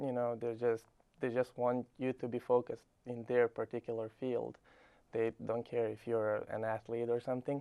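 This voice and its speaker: A man with a Serbian accent speaks at a moderate pace and medium pitch, his tone dark and mellow and his intonation monotone and flat. The sound is dry and close, with no echo. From Serbia, Belgrade. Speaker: college tennis player. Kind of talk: interview.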